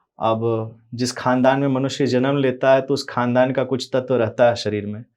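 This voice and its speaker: Monotone, flat intonation from a man at a medium pitch, with a quiet background. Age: young. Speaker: religious preacher. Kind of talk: interview.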